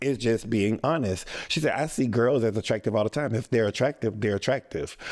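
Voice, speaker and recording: Speaking in a plain, everyday voice, a man moves at a fairly quick pace with very even loudness, medium pitch, and ordinary pitch variation. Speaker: talk show cast member, military veteran. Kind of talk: casual interview.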